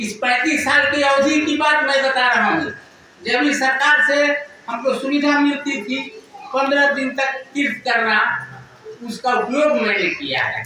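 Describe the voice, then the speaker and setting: Raising and projecting his voice, a man speaks at an extremely high pitch with ordinary pitch variation, amid noticeable background noise and audible room echo. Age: 80s+. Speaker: retired school headmaster. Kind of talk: speech at religious gathering. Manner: halting.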